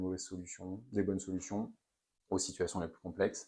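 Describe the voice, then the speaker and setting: A man talks in a very deep, low pitch. The background is quiet. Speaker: company founder and CEO. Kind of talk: interview. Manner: loud; hesitant, many fillers.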